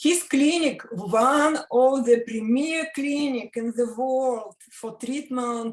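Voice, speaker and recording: The speaker is a woman. She talks in a Russian accent. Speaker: interviewer. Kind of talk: interview. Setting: video call. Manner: halting.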